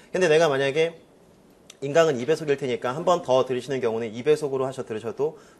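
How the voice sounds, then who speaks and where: Talking at a very fast pace, a man has a fairly high-pitched voice. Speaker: organic chemistry instructor. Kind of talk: lecture. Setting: classroom with students.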